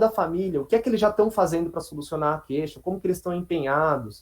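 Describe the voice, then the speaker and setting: A man's high-pitched voice with lively intonation. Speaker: psychologist. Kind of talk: online talk to colleagues. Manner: fast.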